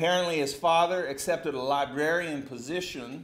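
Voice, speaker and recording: In a Texan accent, a man talks at a moderate pace. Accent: Texan American English. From Texas. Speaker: pastor reviewing a book. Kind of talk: book review talk. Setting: church hall with audience. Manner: halting. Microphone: podium.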